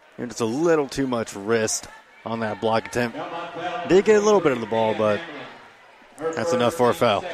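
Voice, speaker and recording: Noticeable background noise accompanies a man speaking at a moderate pace with a medium pitch. His intonation is lively, with long, frequent pauses. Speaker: color commentator. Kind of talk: live sports commentary, analysis.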